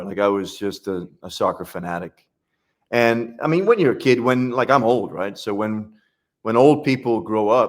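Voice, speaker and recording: On a very clean recording with a silent background, the speaker keeps a moderate pace and ordinary pitch variation. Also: man. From UK. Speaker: sprint coach. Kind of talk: casual interview chat.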